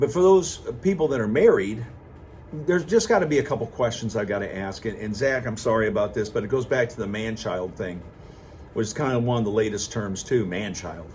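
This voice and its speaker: Somewhat breathy and medium in pitch, a man speaks at a fairly quick pace with lively intonation. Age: 60s. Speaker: vlogger. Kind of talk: casual monologue.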